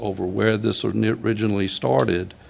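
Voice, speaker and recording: A man's fairly low voice with vocal fry and a Virginia accent. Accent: Virginia Southern. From Virginia, Louisa County. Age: 70s. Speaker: county supervisor. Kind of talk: public meeting deliberation. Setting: board meeting room. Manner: halting.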